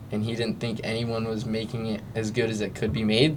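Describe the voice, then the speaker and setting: A man with an American accent at a fairly quick pace, monotone and flat, with audible room echo. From Southern California, San Clemente. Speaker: pro surfer. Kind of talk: casual chat.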